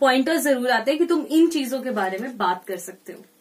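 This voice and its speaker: A woman's high voice at a moderate pace, with very wide pitch swings and noticeable background noise. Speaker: radio jockey. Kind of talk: interview answer. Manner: mixes Hindi and English.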